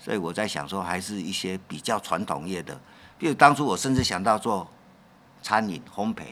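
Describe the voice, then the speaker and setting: The voice is bright and sharp in tone, with lively intonation. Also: man, fairly low pitch for a man, moderate pace, big swings in loudness. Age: 60s. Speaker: leather craftsman. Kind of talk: interview.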